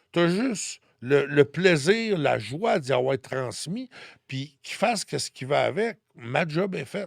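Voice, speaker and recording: Speaking very slowly with a Quebec accent, a man uses a fairly high pitch, lively intonation and big swings in loudness, in a dry, close sound with no echo. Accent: Québécois French. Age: 60s. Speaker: numerologist and spiritual guide. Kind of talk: podcast interview, personal testimony.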